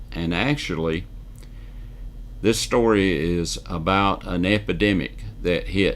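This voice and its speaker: This man has a very deep, low voice and a Southern US accent. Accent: Southern US (Georgia). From US South (northwest Georgia, near Alabama line). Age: 70s. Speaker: news commentator. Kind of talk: news commentary monologue. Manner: folksy, with frequent hesitations.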